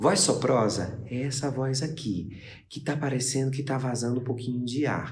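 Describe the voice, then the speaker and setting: A man puts on a breathy character voice at a medium pitch, with fairly even intonation. He keeps a moderate pace, and audible echo surrounds him. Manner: air leaking through.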